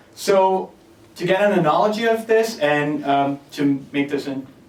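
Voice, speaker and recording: A man is speaking, with ordinary variation in his pitch. Noticeable background noise runs underneath. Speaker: software developer giving a conference talk. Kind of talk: tech talk. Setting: meetup audience.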